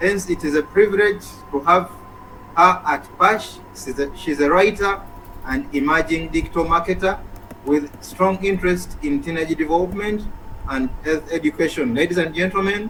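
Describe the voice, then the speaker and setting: A man's high-pitched voice at a moderate pace over noticeable background noise. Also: ordinary pitch variation. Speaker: event host. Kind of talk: speaker introduction.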